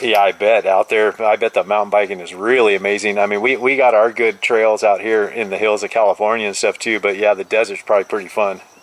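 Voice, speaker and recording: A man's fairly low, monotone voice at a very fast pace with hardly any pauses, dry and close with no echo, over noticeable background noise. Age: 50s. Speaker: CB radio operator. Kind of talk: casual radio chat. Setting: CB radio contact.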